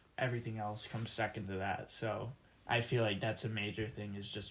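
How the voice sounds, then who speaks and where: In a fairly low pitch, a man speaks with a somewhat breathy voice and monotone, flat intonation. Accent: American. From Michigan. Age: 20s. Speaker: college student. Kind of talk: casual interview.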